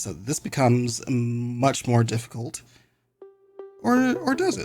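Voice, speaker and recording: Medium pitch from a man, with music in the background. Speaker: Pokemon VGC commentator. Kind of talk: casual game commentary.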